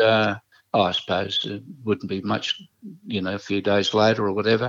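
In an Australian accent, a man speaks at a moderate pace with a fairly low pitch. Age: 70s. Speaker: retired jockey. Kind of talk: interview, storytelling. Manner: halting, many fillers and repetitions.

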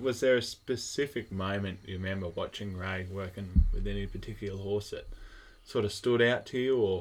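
With an Australian accent, this speaker moves along at a fairly quick pace. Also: man. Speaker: podcast host. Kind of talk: casual interview. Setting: at a showground.

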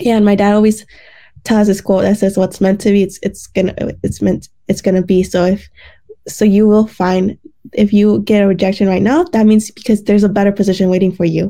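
The speaker has an American accent and a dark, mellow tone, talking at a fairly quick pace with very even loudness. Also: woman, medium pitch for a woman. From Detroit suburbs, Michigan. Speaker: pre-dental student. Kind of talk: casual interview. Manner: animated.

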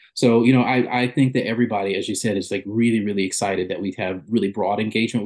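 Over a quiet background, a man talks fairly quickly at a medium pitch with monotone, flat intonation. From US South, South Carolina upstate. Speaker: orchestra conductor. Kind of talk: interview.

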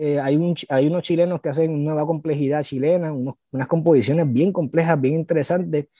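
With a dark, mellow tone and a fairly high pitch, a man speaks at a moderate pace using ordinary pitch variation. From Puerto Rico, San Juan (Cupey). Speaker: composer and researcher. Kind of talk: interview. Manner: halting, many repetitions.

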